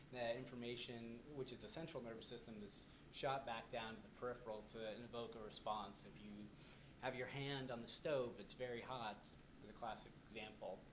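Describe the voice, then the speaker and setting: A soft-spoken man's medium-pitched voice at a fairly quick pace, with fairly even intonation and audible room echo. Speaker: presenter at a support group. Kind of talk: lecture. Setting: in a room with a live audience. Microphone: recording may be too quiet.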